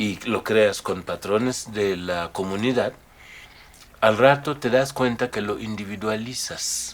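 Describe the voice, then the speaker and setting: A man talks at a fairly slow pace with a West African accent. His pitch is fairly low and his intonation fairly even. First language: Mandinka (speaking Spanish). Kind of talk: interview.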